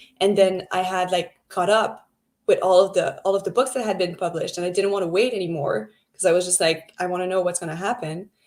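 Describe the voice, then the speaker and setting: At a very fast pace, a woman with a French Canadian accent speaks at medium pitch with ordinary pitch variation. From Quebec, French Canada. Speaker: book club co-host. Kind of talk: casual chat.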